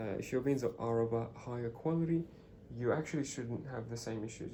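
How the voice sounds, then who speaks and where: A man talks at a fairly quick pace in a dark, mellow tone that is somewhat breathy, with ordinary pitch variation. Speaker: coffee machine seller. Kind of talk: product demonstration. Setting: at home, early morning. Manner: hesitant, many fillers; whispering.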